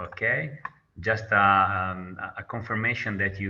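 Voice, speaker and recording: This man has a very deep, low pitch and a bright, sharp tone, speaking with an Italian accent. His intonation is fairly even, and the room echo is audible. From Italy. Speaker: nursing researcher. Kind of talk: lecture. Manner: halting.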